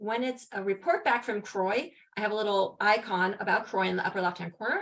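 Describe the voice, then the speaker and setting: This woman's fairly high voice moves at a fairly quick pace, with ordinary pitch variation. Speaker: HIV prevention researcher. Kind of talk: conference presentation. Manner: fast.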